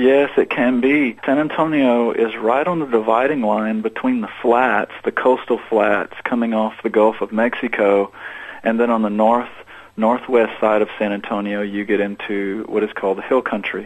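Over noticeable background noise, a man with an American accent speaks at a moderate pace and medium pitch with fairly even intonation. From Central/South Texas. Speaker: singer-songwriter. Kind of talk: interview.

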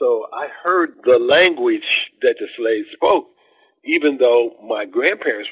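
A man's voice with a dry, close sound and no echo. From US Midwest, Ohio. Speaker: author and retired educator. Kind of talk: interview.

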